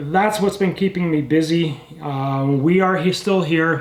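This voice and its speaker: Lively intonation at a fairly slow pace, against noticeable background noise. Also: man. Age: 70s. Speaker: firearms restorer and channel host. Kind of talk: casual channel update talk to camera. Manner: halting, many fillers and repeats.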